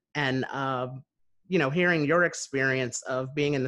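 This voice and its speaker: In a normal speaking voice, a man with an American accent talks at a moderate pace against a quiet background. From US Northeast, New Jersey near Philadelphia. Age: 30s. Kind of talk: casual interview conversation. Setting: video call.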